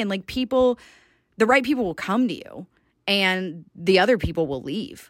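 In a very clean recording with a silent background, the speaker talks at a moderate pace in an American accent with very wide pitch swings. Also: woman. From US South, Georgia. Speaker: fitness and life coach, podcast host. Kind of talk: casual unscripted monologue. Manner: casual, rambling.

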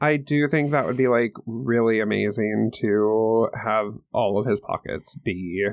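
A man's plain, everyday voice with lively intonation at a fairly slow pace. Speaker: podcast co-host.

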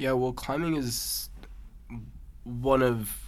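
A man speaks in a normal speaking voice with an American accent, at a medium pitch. His pace is fairly slow and his intonation fairly even. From Massachusetts. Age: young. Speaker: competitive climber. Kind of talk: interview.

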